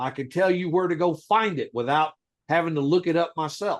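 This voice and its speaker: A man's high-pitched voice. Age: 60s. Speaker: legal rights educator. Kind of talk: heated debate. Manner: forceful.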